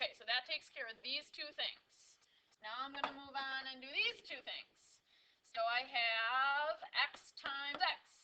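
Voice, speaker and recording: A woman's raised, projected voice sits at a high pitch with ordinary pitch variation and big swings in loudness, broken by long, frequent pauses over noticeable background noise. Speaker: math teacher. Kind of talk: tutorial. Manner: fast.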